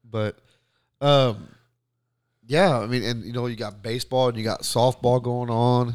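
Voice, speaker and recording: A man with an American accent speaks at medium pitch and a moderate pace. His intonation stays fairly even, broken by long, frequent pauses. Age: 40s. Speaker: podcast co-host, coach. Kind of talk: casual chat.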